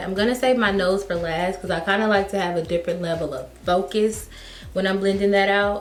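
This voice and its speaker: With noticeable background noise and audible room echo, a woman speaks at medium pitch and a fairly quick pace, her intonation fairly even. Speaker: beauty youtuber. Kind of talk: makeup tutorial. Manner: casual, chatty.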